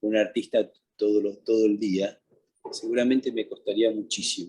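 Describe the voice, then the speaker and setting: Fairly slow pacing from a male speaker. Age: 60s. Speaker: painter. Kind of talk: interview. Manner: halting, many repetitions.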